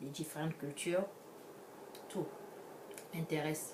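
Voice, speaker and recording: Her pitch is very deep and low for a woman, and she speaks at a moderate pace with noticeable background noise and audible room echo. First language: an African language, French second (speaking French). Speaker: vlogger. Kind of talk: casual vlog monologue. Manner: halting, many restarts.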